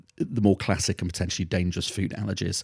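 Speaking very fast with a British accent, a man uses a very deep, low, dark and mellow voice with fairly even intonation, in a dry, close, very clean recording with a silent background. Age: 50s. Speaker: pediatric allergy doctor. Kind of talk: interview.

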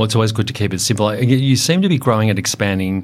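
A man with an Australian accent speaks at a very fast pace in a fairly low voice with ordinary pitch variation. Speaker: podcast host, industry association head. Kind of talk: interview.

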